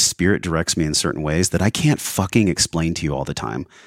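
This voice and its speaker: In a very clean, dry recording, close with no echo and a silent background, a man talks at a fairly quick pace in a very deep, low pitch with ordinary variation and vocal fry. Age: 40s. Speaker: wellness podcast host and breathwork coach. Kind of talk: casual interview conversation; scripted intro and ad read. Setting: studio.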